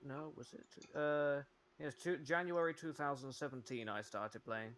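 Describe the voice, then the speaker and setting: Speaking with a British accent, a man uses a fairly high pitch and ordinary pitch variation. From West Midlands, England. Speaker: gamer, meme maker for a gaming community. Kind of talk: casual chat while gaming. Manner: halting, many fillers.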